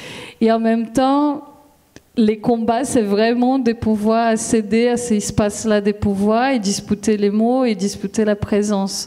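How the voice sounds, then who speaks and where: A woman speaks very slowly with a Brazilian accent, her pitch fairly high for a woman. Her intonation is monotone and flat, over noticeable background noise. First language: Brazilian Portuguese (speaking French). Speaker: philosophy lecturer-researcher. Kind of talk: panel discussion.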